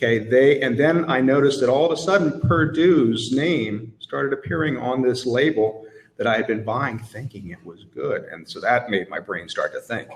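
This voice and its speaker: Noticeable background noise under a man's lively intonation. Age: 60s. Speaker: chef, conference panelist. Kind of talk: live panel discussion. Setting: conference stage with audience. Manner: animated.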